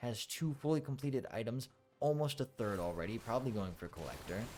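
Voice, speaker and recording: A man at a fairly quick pace with ordinary pitch variation, music in the background. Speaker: esports caster. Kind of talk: video game commentary.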